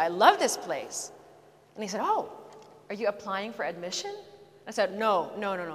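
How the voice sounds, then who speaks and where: A woman speaks fairly quickly, and there is noticeable background noise behind her. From Philippines. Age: 30s. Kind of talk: testimony. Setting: church with live audience.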